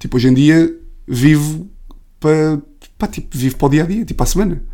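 With a European Portuguese accent, a man speaks in a dark, mellow tone at a fairly high pitch. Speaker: comedian. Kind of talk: casual chat.

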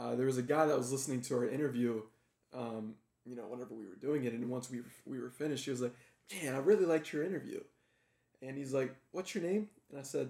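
Speaking at a very fast pace yet with long, frequent pauses, a man has a dark, mellow tone and ordinary pitch variation. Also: medium pitch for a man, big swings in loudness. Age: 20s. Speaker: podcast host. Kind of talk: casual interview. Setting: in guest's home. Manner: animated.

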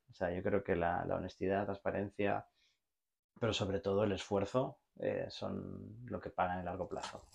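Against a quiet background, a man with a Barcelona accent and a fairly low pitch talks at a moderate pace with fairly even intonation. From Spain, Barcelona. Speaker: logistics executive and entrepreneur. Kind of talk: casual interview chat.

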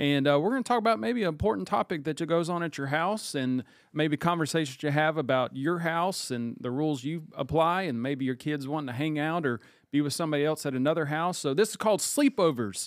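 On a very clean recording with a silent background, a man with a fairly high pitch talks at a fairly quick pace in an animated tone with lively intonation. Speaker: church pastor and podcast host. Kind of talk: casual panel discussion. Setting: studio with several people in the room. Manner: animated, jokey.

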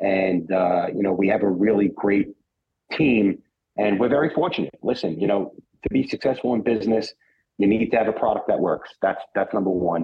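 A man talks at a moderate pace with a fairly low pitch and ordinary pitch variation. His voice has a husky, rough edge.

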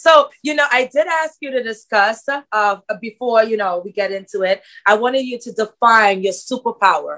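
A woman with an ordinary speaking voice talks at a moderate pace in a fairly high pitch. Her intonation is lively, with big swings in loudness. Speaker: podcast host. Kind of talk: interview, casual conversation.

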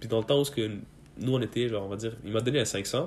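Speaking at a fairly quick pace, a man uses a medium pitch and fairly even intonation. His voice is somewhat breathy. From Afghanistan, raised in Quebec from about age 10. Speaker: student, podcast guest. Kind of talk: casual chat.

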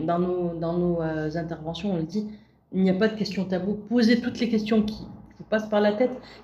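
A woman speaks in a dark, mellow, somewhat breathy tone with ordinary pitch variation. Audible room echo surrounds her voice. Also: big swings in loudness. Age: 40s. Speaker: visual impairment awareness facilitator. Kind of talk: interview.

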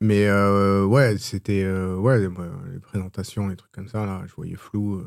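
A man talks at a very slow pace with a fairly low pitch. The recording is very clean, the background silent. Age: 40s. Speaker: app entrepreneur. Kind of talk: interview. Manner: halting.

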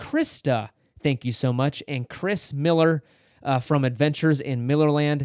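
An ordinary speaking voice from a man with a fairly high pitch, at a moderate pace, in a dry, close sound with no echo. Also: fairly even intonation, very clean recording, silent background. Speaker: podcast host. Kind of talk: casual chat.

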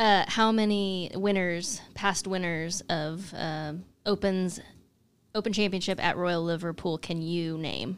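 In a very clean recording with a silent background, a woman with an American accent speaks at a fairly slow pace and medium pitch, with fairly even intonation, in an ordinary speaking voice. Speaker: co-host and amateur golfer. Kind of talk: casual chat.

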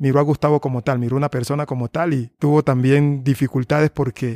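Recorded very cleanly with a silent background and a dry, close sound with no echo, a man speaks at a fairly quick pace with a fairly high pitch and fairly even intonation. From Colombian Pacific coast, Tumaco. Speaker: musician. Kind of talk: interview testimony. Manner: halting, many repeated words.

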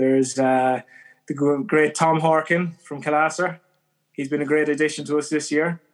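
A man's fairly high, flat, monotone voice with a west of Ireland accent at a moderate pace, over a silent background in a very clean recording. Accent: west of Ireland Irish. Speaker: emigrant. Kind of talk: casual interview.

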